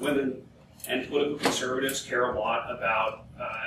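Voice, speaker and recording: Amid noticeable background noise and audible room echo, a man speaks at a fairly quick pace. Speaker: panelist. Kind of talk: panel discussion. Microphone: camera far.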